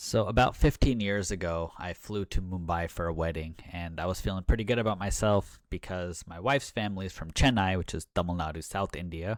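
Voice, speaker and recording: The recording is very clean with a silent background. The speaker uses an American accent, a fairly quick pace and fairly even intonation. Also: man. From United States. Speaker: doctor and health video creator. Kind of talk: casual vlog commentary. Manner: conversational with fillers.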